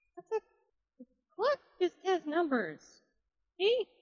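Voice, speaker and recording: A woman puts on a squeaky character voice at an extremely high pitch, with very wide pitch swings. She speaks at a very slow pace in a dry, close sound with no echo. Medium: actual play. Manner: dry, deadpan.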